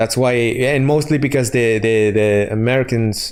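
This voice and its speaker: A man with a Spanish accent at a fairly slow pace, with audible room echo. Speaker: gaming streamer. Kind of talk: casual chat. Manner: halting.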